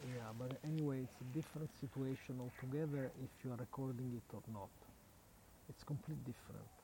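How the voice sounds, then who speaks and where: A man's somewhat breathy, medium-pitched voice with a dark, mellow tone, at a moderate pace with fairly even intonation and long, frequent pauses. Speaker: community radio host. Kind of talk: casual live radio chat; guided vocal exercise. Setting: outdoors at night by a lake. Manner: talkative.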